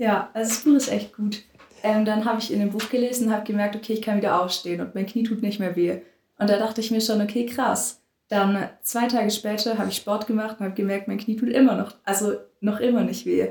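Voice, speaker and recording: Somewhat breathy, a woman with a fairly high pitch talks at a fairly quick pace in a monotone, flat intonation. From southern Germany, near Stuttgart. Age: young. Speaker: volunteer after school. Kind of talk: casual interview.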